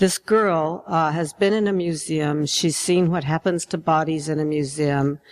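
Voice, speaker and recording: Speaking fairly slowly, a woman with an American accent has a very deep, low pitch and fairly even intonation in a very clean recording with a silent background. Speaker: poet and novelist. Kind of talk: fiction reading.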